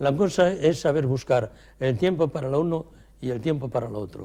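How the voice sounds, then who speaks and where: Lively intonation marks this man's fairly high, dark, mellow voice. He keeps a moderate pace. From Cantabria, Spain (Torrelavega). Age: 80s+. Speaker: retired chemist and company executive. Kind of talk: interview.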